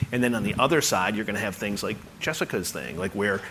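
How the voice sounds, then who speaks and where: A man's fairly low pitch at a very fast pace, ordinary pitch variation, and audible room echo. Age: 40s. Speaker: journalist and media founder. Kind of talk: live interview on stage.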